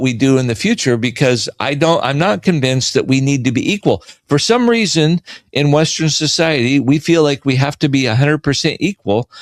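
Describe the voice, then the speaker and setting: Recorded dry and close with no echo, a man talks at a moderate pace in a fairly high voice, his loudness held very even. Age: 60s. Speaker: financial educator guest. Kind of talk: radio interview. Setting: radio studio. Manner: halting.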